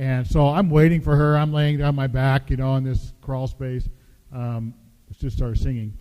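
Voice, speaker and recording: A man speaks at a moderate pace with an American accent. His tone is dark and mellow, and his intonation stays fairly even. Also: medium pitch for a man. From US Pacific Northwest. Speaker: pastor. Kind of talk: sermon. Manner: hesitant fillers.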